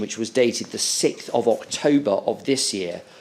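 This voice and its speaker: Pitched in the middle range, a man talks with a British accent. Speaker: inquiry counsel. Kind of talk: witness examination at public inquiry. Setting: courtroom hearing. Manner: formal; loud.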